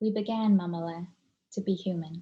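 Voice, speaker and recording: A woman talks at a moderate pace in a dark, mellow, somewhat breathy tone with fairly even intonation. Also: quiet background. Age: 30s. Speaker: poet. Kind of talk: poetry reading.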